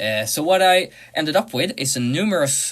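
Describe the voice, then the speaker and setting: A man speaks with lively intonation. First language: not English. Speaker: music producer, tutorial creator. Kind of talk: tutorial. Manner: hesitant, many uh fillers.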